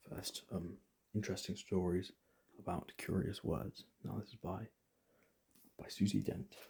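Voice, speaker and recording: A man whispers softly and somewhat breathily at a fairly slow pace, with long, frequent pauses. His loudness swings widely. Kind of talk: ASMR book recommendations. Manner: soft-spoken, whispered.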